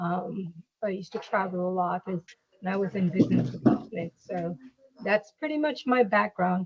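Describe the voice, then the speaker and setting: A woman speaks at a moderate pace in a medium pitch with a plain, everyday voice. The sound is dry and close with no echo. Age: 50s. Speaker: patient. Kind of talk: interview.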